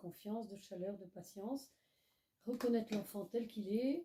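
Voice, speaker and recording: Speaking at a fairly slow pace, a woman has a medium pitch, ordinary pitch variation and a somewhat breathy voice with a dark, mellow tone. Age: 80s+. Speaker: association president, retired teacher. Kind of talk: interview.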